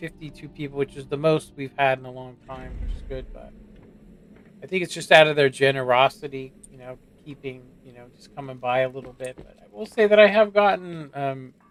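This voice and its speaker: A man with a normal speaking voice talks at a fairly quick pace and a fairly high pitch. His pitch varies in an ordinary way, and his loudness swings widely. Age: 40s. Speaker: gaming streamer. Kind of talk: casual chat.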